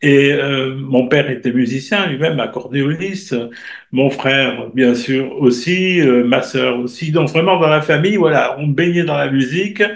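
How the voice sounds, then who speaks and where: There is audible room echo as a man with a fairly high voice speaks at a fairly slow pace with ordinary pitch variation. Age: 70s. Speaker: astrologer and writer. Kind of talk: interview.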